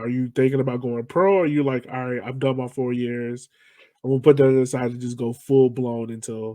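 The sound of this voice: A man's dark, mellow voice at medium pitch, fairly quick in pace and fairly even in intonation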